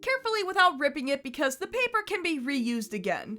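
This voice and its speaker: Over music in the background, a woman projects a raised, high voice with very wide pitch swings. She speaks at a fairly quick pace. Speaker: YouTube TV analysis host. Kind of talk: video essay narration. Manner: wry, humorous.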